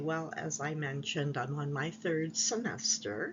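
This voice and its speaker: Amid noticeable background noise and audible room echo, a woman speaks at a fairly slow pace with a fairly low pitch. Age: 60s. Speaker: graduate student vlogger. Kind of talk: casual vlog advice.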